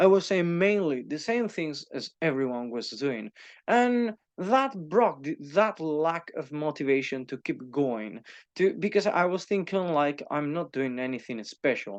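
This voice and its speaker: Here a man with a Spanish accent talks at a fairly high pitch and a fairly slow pace. His pitch swings very widely over a quiet background. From Spain. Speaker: YouTuber and teacher. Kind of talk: casual monologue. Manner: halting, many fillers and repeats.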